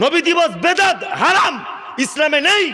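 Someone speaks in an animated tone with a raised, projected voice. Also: man. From West Bengal, North 24 Parganas; West Bengal. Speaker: Islamic preacher. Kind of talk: religious sermon at a public gathering. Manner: animated, fiery. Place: stage. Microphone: podium.

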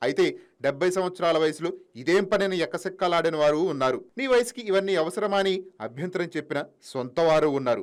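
This is a man speaking. His pitch is high. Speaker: news narrator. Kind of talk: TV news voice-over.

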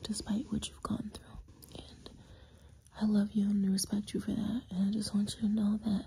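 A woman talks in a monotone, flat intonation over light background noise. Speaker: content creator. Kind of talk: intimate affirming monologue to camera. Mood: tender, soft, affectionate. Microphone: phone near.

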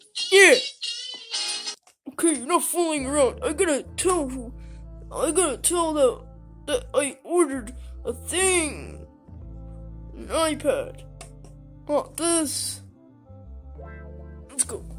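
A cartoonish character voice speaks high and at a fairly slow pace, with long, frequent pauses. Clear music plays in the background. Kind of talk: comedy puppet skit. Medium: puppet. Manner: hesitant, stammering, childish.

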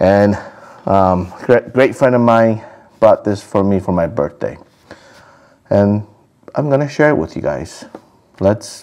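A man's fairly slow speech, broken by long, frequent pauses. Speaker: food vlogger. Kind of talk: casual vlog chat. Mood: cheerful, relaxed. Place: home room. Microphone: lapel.

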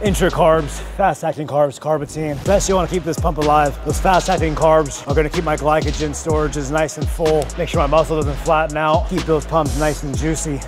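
Over clear music in the background, a man talks at a fairly quick pace with hardly any pauses. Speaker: fitness creator. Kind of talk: casual vlog chat explaining supplements. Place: gym. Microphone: lapel.

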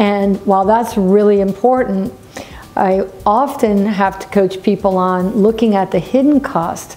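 A woman at a fairly slow pace, fairly even intonation, light background noise behind her. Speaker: business coach. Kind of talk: talking-head business vlog. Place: office.

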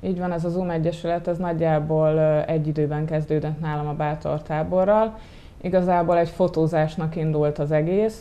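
At a moderate pace, a woman talks in a very deep, low pitch with fairly even intonation. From Hungary, Gyöngyös; Hungary. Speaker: volunteer photographer; interview guest. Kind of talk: TV interview. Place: studio. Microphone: lapel.

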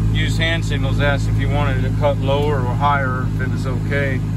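Loud background noise accompanies speech delivered at a fairly slow pace. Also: dry sound with no echo. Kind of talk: casual vlog chat. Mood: wry, mildly annoyed storytelling. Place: car. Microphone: phone near.

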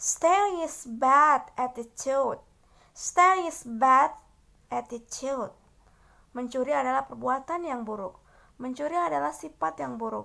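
In a very clean recording with a silent background, a woman with a high pitch projects her raised voice at a fairly slow pace. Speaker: English teacher. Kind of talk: tutorial. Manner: slow, repetitive drilling.

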